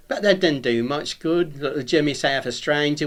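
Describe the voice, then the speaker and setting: A man's fairly high-pitched voice in a Norwich accent. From England, Norwich. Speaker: retired painter, local dialect speaker. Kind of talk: recorded talk. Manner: informal, conversational.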